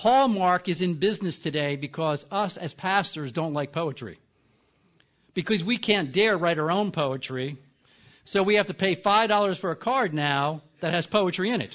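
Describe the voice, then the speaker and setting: Lively intonation at a moderate pace, with an American accent. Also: man, high pitch for a man. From US East Coast. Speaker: seminary professor. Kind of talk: lecture. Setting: conference stage with audience. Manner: soft-spoken.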